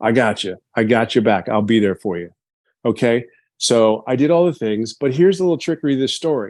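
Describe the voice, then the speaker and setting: A man with an ordinary speaking voice talks at a fairly quick pace and a medium pitch. His intonation is lively, and the background is quiet. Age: 50s. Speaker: business testimonial speaker. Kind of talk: testimony.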